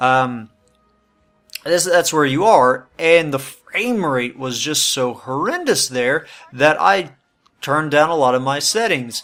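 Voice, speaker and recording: A man with a fairly high voice speaks very slowly and with lively intonation over background music. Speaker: gaming YouTuber. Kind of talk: gameplay commentary. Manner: casual, hesitant with many fillers.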